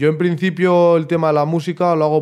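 A man speaks at a fairly quick pace. His intonation is monotone and flat. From Vitoria, Basque Country, Spain. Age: 20s. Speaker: musician and martial arts practitioner. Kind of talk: interview.

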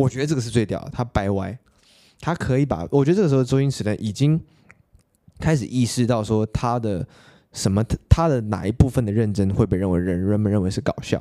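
Over a silent background in a very clean recording, a man with a medium-pitched, dark, mellow voice talks at a fairly quick pace with ordinary pitch variation. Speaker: podcast host. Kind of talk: casual solo podcast monologue.

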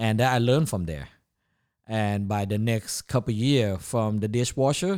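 On a very clean recording with a silent background, a man speaks with a Thai accent. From Thailand, Chiang Mai. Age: 40s. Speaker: chef and food business owner. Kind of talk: casual interview. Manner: halting, many fillers.

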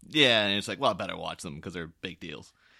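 A man with an Irish accent speaks in a bright, sharp tone on a very clean recording with a silent background. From Ireland, small town. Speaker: podcast guest co-host. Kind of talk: casual chat.

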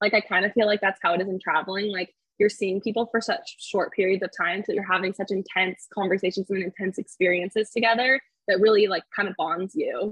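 At a fairly quick pace, a woman with a Californian accent speaks at a medium pitch with fairly even intonation. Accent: Californian American English. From California, Fresno area. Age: 20s. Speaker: solo traveler and speech-language pathologist. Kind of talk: interview, casual chat.

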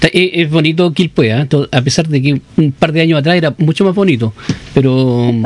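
A man's fairly high voice at a moderate pace, very even in loudness, with ordinary pitch variation and noticeable background noise. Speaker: radio host. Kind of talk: radio interview.

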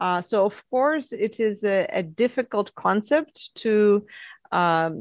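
The speaker has a Russian accent and ordinary pitch variation. The recording is dry and close, without echo. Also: woman. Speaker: mining company CEO, geologist. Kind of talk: interview answers.

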